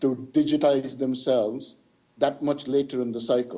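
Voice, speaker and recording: A man with a Tamil accent speaks at a moderate pace with a fairly high pitch and ordinary pitch variation. His tone is dark and mellow. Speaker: keynote speaker. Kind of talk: Q&A answer. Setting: video link to conference hall.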